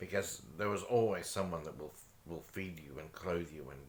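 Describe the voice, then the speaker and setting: A quiet man's very deep, low voice with vocal fry, big swings in loudness, and audible room echo. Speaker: vlogger. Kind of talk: casual chat.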